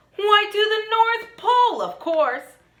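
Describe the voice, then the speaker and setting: In a put-on character voice, a woman speaks squeaky and at an extremely high pitch, at a fairly slow pace. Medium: read story.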